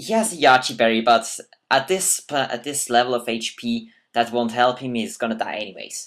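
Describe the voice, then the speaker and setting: The speaker has a non-native accent and a moderate pace, in a very clean recording with a silent background. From Switzerland. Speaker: gaming commentator. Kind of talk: gameplay commentary. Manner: halting, self-correcting.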